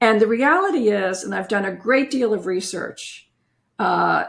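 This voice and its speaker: A woman with vocal fry speaks at a fairly slow pace, her fairly high voice carrying lively intonation. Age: 70s. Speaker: retired family lawyer and author. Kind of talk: interview.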